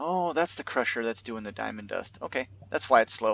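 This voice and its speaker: This man talks at a very fast pace. His pitch is medium, with ordinary variation. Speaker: gaming YouTuber. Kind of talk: gameplay commentary. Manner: casual with many fillers.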